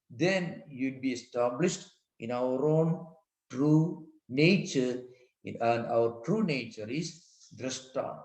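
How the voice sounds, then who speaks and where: With audible room echo, a man speaks very slowly in a fairly high pitch. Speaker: monk and spiritual teacher. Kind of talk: lecture.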